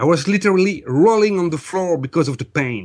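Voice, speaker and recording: A man talks with a French accent and ordinary pitch variation. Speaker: energy healer. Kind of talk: interview testimony. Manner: hesitant, many fillers.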